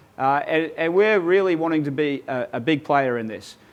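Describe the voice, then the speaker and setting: A man with an Australian accent talks at a moderate pace, his fairly high pitch moving with ordinary variation. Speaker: transport company executive. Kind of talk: webinar presentation. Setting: online webinar.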